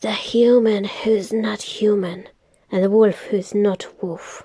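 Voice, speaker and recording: A woman's put-on character voice at medium pitch, delivered at a fairly slow pace. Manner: hungry, crackling.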